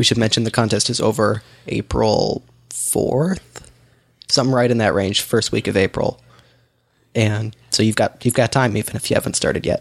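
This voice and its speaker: A man's voice with vocal fry, moderate pace and ordinary pitch variation. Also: medium pitch for a man. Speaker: podcast co-host. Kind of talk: casual chat.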